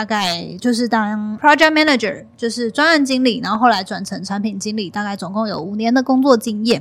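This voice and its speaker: A somewhat breathy woman at a fairly high pitch, with a fairly quick pace, hardly any pauses and ordinary pitch variation. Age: 30s. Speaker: content creator and podcast host. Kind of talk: casual interview chat.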